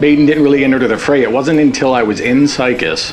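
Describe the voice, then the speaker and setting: Music in the background and audible room echo around a man's voice. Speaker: tribute band guitarist. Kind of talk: documentary interview. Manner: casual, hesitant with fillers.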